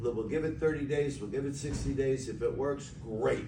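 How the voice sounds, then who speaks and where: There is noticeable background noise and audible room echo as a man talks. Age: 70s. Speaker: physician promoting supplement business. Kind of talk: sales pitch. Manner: halting.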